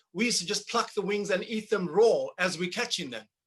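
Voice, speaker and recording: Someone speaks in a Zulu accent. The pace is fairly quick. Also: man. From South Africa, Zulu township near Durban. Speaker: percussionist and composer. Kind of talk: casual interview. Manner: halting, many repetitions.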